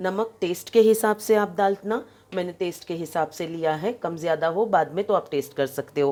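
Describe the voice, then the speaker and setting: A woman with a dark, mellow tone speaks at a moderate pace with ordinary pitch variation and hardly any pauses. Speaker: home cook and caterer. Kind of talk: cooking tutorial. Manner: conversational, with filler pauses.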